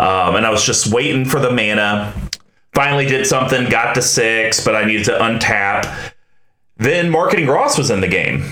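Over noticeable background noise, the voice keeps very even loudness, with ordinary pitch variation and a moderate pace. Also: man, medium pitch for a man. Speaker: podcast host. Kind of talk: casual chat. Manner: pitch rises when unsure.

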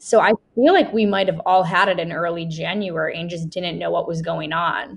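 A woman talks at a moderate pace with a fairly low pitch. Her voice has vocal fry and fairly even intonation. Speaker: event emcee. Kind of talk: casual chat.

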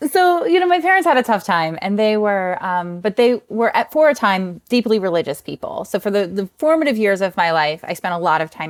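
With a slight New Jersey accent, a woman talks at a fairly quick pace with hardly any pauses, her medium pitch making very wide swings in a dry, close sound with no echo. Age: 40s. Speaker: author and meditation teacher. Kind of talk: interview. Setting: video call.

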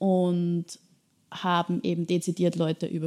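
A woman with an Austrian accent speaks at a fairly slow pace in a fairly low pitch with a dark, mellow tone. The recording is very clean with a silent background and a dry, close sound with no echo. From Austria, Bad Ischl (Upper Austria). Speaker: social entrepreneur, café co-founder. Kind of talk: interview.

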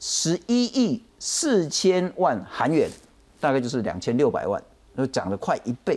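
Speaking at a fairly slow pace with a Taiwanese accent, the voice swings very widely in pitch. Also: man. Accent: Taiwanese Mandarin. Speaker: talk show host. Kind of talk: political talk show. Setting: studio.

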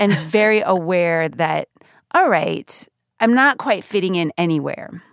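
A woman with an American accent, medium pitch, lively intonation and an animated tone at a fairly slow pace, in a dry, close, very clean recording with no echo and a silent background. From Northern California. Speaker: radio journalist and podcast co-host. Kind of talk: casual interview. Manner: animated, laughs often.

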